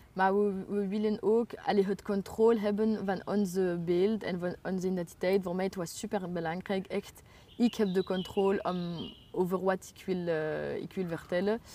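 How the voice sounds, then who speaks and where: A woman's medium-pitched, monotone voice at a moderate pace, with big swings in loudness. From Brussels, Belgium. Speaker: writer. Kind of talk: interview. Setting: outdoors. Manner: halting.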